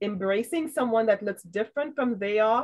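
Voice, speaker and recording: A woman with a Trinidadian accent talks at a moderate pace. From Trinidad, raised in New York. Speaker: trail and community advocate. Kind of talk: panel discussion.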